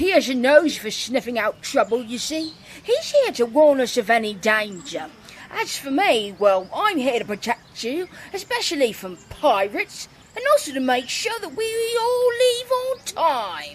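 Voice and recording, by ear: This cartoonish character voice has a high pitch and keeps a moderate pace.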